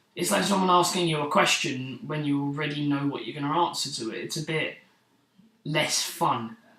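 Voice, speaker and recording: A man speaks at a moderate pace with a fairly high pitch and ordinary pitch variation. There is audible room echo. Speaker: vlogger. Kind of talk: casual vlog monologue. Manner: unscripted, slightly stuttering.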